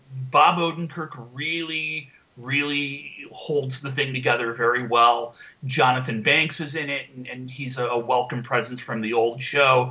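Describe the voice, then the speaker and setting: There is noticeable background noise. A man of medium pitch speaks at a fairly slow pace with fairly even intonation. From United States. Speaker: podcast co-host. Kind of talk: casual chat.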